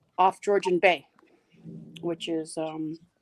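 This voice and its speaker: With a Toronto accent, a woman speaks in a flat monotone, recorded with a dry, close sound and no echo. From Canada, Toronto. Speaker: live stream participant. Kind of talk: casual chat.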